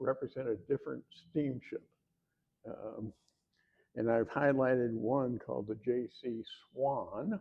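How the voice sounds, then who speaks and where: The man has a medium pitch and speaks with a Midwestern accent. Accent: Midwest. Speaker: historian and author. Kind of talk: lecture. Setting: room with live audience. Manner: halting, many fillers.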